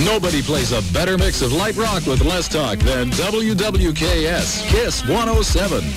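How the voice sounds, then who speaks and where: A speaker with an American accent talks at a moderate pace with hardly any pauses. The sound is dry with no echo, and loud music plays in the background. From United States, mid-Atlantic. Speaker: radio station announcer. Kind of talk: radio station ID and jingle, aircheck. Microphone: old recording.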